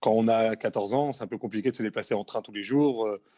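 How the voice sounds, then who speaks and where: A dark, mellow voice moves at a very fast pace with a dry, close sound and no echo. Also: man, very clean recording, silent background. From Paris suburbs, France (Essonne). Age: 30s. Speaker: heating and plumbing technician. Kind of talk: interview. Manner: halting, many hesitations.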